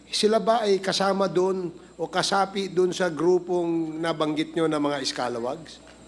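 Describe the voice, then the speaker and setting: A man speaks at a fairly slow pace in a high pitch. His pitch variation is ordinary. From Philippines. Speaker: committee chair; witness. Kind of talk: formal hearing interrogation. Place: hall. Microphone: podium.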